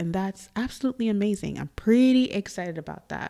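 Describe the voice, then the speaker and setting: A soft-spoken woman with a dark, mellow tone, ordinary pitch variation and a moderate pace. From Trinidad and Tobago. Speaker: podcast host. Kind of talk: casual monologue. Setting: studio.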